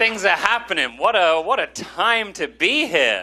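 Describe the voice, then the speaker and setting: With a British accent, a man speaks at a very slow pace in a raised, projected voice amid noticeable background noise. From Britain. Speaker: comedian. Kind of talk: stand-up.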